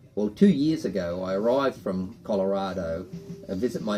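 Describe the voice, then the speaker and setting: A man talks with an Australian accent. Music plays in the background. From Australia (Queensland). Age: 60s. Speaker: boat owner telling family stories. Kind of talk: casual storytelling interview.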